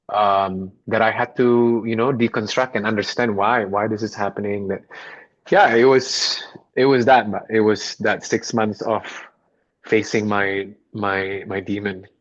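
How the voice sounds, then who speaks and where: At a fairly slow pace, a man talks in a fairly low pitch with monotone, flat intonation. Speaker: podcast guest. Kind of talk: casual interview conversation.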